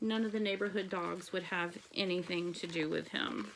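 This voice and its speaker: This woman puts on a raspy character voice at a moderate pace, her medium pitch showing ordinary variation. Her loudness stays very even. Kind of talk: read-aloud picture book. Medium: read story.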